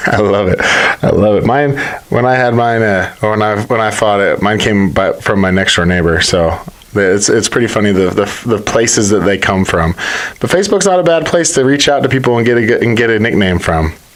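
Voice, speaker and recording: Mumbling at a moderate pace with lively intonation, a man speaks over noticeable background noise. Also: fairly low pitch for a man, very even loudness. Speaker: podcast host and former fighter. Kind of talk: casual interview. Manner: says he mumbles, T's come out like D's.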